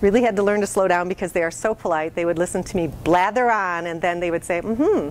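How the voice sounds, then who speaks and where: A woman's voice at a medium pitch. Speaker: marketing consultant. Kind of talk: talk to business audience. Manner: fast.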